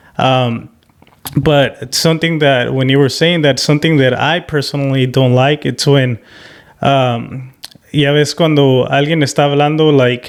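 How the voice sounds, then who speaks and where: This man speaks at a fairly slow pace with a fairly high pitch, a flat monotone, very even loudness and a slight Spanish accent. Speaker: podcast host. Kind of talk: casual chat.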